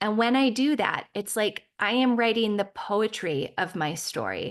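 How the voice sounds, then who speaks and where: A woman's ordinary speaking voice, fairly high in pitch with ordinary pitch variation, against a quiet background. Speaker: spiritual podcast host. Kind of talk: podcast monologue.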